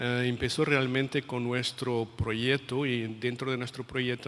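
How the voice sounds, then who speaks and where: A man with a medium-pitched voice talks at a fairly slow pace in a monotone, flat intonation, with hardly any pauses. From Portugal. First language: Portuguese (speaking Spanish). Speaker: international education policy expert. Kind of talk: lecture. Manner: hesitant, many fillers and repetitions.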